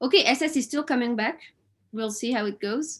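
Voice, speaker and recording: In a French accent, the speaker talks at a moderate pace with ordinary pitch variation against a quiet background. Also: woman. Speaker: quiz host at online event. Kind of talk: live quiz hosting. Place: home room. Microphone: webcam.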